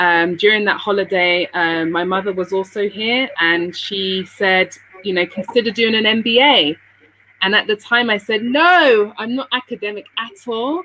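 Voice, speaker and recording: A woman with a British accent, medium pitch, ordinary pitch variation and a moderate pace. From England, London, Sierra Leonean parents. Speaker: businesswoman living abroad. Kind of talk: interview.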